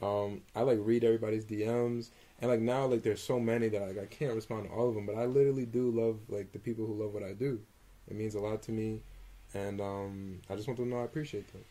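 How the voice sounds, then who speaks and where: Very fast speech from a man with an American accent, medium in pitch and fairly even in intonation. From New Jersey. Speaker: R&B singer. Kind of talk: casual interview.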